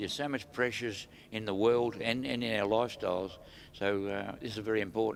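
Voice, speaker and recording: In an Australian accent, a man talks at a fairly quick pace. His pitch is fairly low, with ordinary variation. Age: 80s+. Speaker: retired drag racer. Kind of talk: casual interview. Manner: halting.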